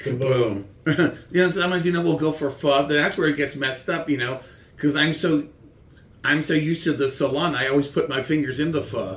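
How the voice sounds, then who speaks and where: Fairly quick, somewhat breathy speech from a man, fairly high-pitched, with ordinary pitch movement. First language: German. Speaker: comedian. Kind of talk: casual chat with comedy bits.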